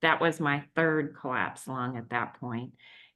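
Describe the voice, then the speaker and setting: A woman speaks at a fairly slow pace in a very deep, low pitch. Her intonation stays fairly even against a quiet background. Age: 50s. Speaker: patient sharing recovery story. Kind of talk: testimony. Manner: halting, many fillers.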